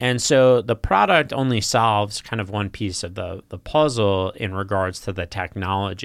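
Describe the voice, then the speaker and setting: An unremarkable speaking voice goes on with hardly any pauses in a very clean recording with a silent background. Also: man, fairly low pitch for a man, ordinary pitch variation, moderate pace. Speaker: podcast host. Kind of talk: casual interview chat.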